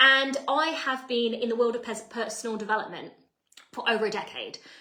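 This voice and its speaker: A woman with an English accent speaks in an animated tone at a fairly quick pace and fairly high pitch. Her pitch varies in an ordinary way, and the room echoes audibly. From England. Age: 30s. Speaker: personal development coach. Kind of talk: live online masterclass.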